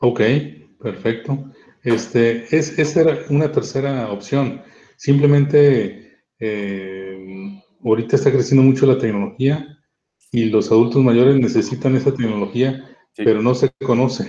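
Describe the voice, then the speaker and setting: The man's tone is dark and mellow. He speaks at a fairly slow pace with ordinary pitch variation. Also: medium pitch for a man. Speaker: audience participant. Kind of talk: asking questions.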